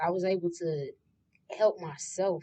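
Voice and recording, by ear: The tone is slightly mellow, the intonation fairly even. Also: woman.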